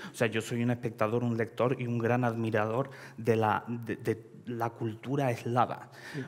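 Someone speaks at a fairly slow pace with a Russian accent. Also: man. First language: Russian (speaking Spanish). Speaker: writer; panel writer. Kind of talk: panel discussion. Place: hall.

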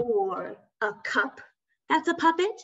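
Over a quiet background, a woman's voice swings very widely in pitch. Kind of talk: children's craft tutorial. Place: home room. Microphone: video call.

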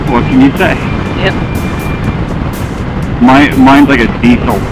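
A man speaks at a moderate pace. Music plays in the background. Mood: relaxed, joking. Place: motorbike. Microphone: helmet.

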